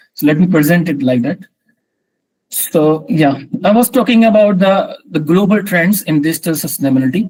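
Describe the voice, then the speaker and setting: A man's high-pitched voice with lively intonation at a moderate pace. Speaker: guest lecturer. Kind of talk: online lecture. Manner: halting.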